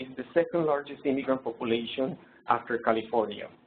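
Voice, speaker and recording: Medium-pitched male voice with a non-native accent and ordinary pitch variation. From Colombia. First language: Spanish. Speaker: presenter. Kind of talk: lecture. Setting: webinar. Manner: hesitant, many fillers.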